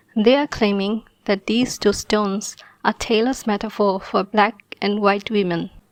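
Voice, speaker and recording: In a dry, close recording with no echo, a woman with a non-native accent talks at a fairly high pitch with fairly even intonation. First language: not English (English is third language). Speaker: video commentator. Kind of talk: scripted commentary video.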